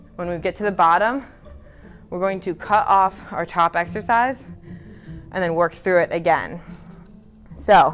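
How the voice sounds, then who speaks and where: Faint music plays behind a woman of fairly low pitch who speaks fairly slowly with ordinary pitch variation. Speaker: fitness instructor. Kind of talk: workout instruction. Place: gym.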